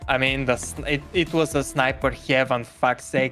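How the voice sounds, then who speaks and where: Over music in the background, someone with a non-native accent talks at a moderate pace. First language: not English. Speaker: gaming community member. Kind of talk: casual chat. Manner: halting.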